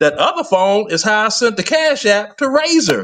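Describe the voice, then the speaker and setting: This man's tone is animated, with very wide swings in pitch. His voice sits high, and he talks at a moderate pace. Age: 60s. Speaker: live stream guest. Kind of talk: casual chat.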